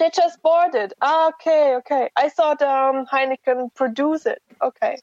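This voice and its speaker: Heard in a dry, close sound with no echo, a woman with a German accent speaks at a fairly slow pace in a high pitch, with ordinary pitch variation and very even loudness. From Germany. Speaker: guest, expat worker. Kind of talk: casual chat. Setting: phone call. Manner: hesitant.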